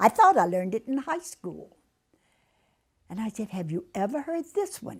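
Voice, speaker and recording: The voice is somewhat breathy, with very wide pitch swings and big swings in loudness. It moves at a moderate pace, broken by long, frequent pauses. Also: woman, fairly high pitch for a woman. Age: 80s+. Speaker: substitute teacher. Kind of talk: interview answer.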